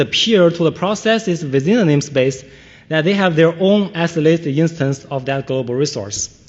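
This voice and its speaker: At a fairly quick pace, a man with a non-native accent and a fairly high pitch speaks with lively intonation. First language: not English. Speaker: conference speaker, security researcher. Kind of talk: conference talk. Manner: hesitant, many fillers.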